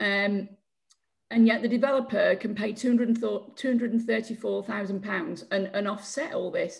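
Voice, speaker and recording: Speaking in a Yorkshire accent, a woman has a fairly high pitch. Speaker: community campaign group chair. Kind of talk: public Q&A question. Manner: halting.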